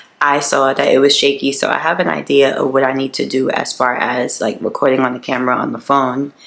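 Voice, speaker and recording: A very fast-talking woman with a very deep, low voice, set against noticeable background noise. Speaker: vlogger. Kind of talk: casual vlog talk to camera.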